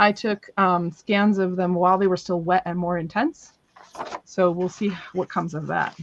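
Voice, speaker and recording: A woman with a plain, everyday voice speaks at a moderate pace. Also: medium pitch for a woman, fairly even intonation. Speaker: crafter selling handmade paper on a live stream. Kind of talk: live sales stream. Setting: live stream.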